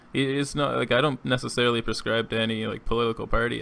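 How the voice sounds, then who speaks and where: Mumbling at a fairly quick pace, a man with a medium-pitched voice shows vocal fry and fairly even intonation. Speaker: podcast host. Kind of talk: casual chat.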